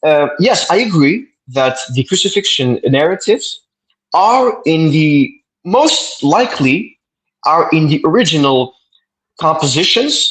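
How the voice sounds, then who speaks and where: A man speaks with a Quebec accent. His pitch swings very widely. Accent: French Canadian accent in English. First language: French. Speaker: debater. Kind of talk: debate. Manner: halting, stuttering repetitions.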